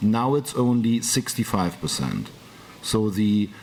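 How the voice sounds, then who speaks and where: This man speaks with a German accent at a moderate pace. His pitch sits in the medium range. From Germany. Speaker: business executive. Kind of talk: panel talk. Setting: conference round table.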